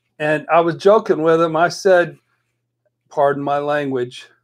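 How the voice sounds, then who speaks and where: A man's animated tone. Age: 60s. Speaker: life coach and counselor. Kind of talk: casual chat.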